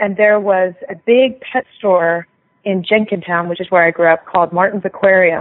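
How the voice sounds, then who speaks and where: Speaking at a moderate pace, a woman uses an unremarkable speaking voice of medium pitch with fairly even intonation. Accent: American. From Philadelphia area, Pennsylvania. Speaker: veterinarian and pet product inventor. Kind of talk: interview.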